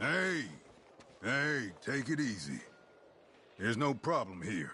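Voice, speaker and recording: Using a put-on character voice of medium pitch, a man talks at a fairly slow pace with very wide pitch swings over clear background noise. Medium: video game.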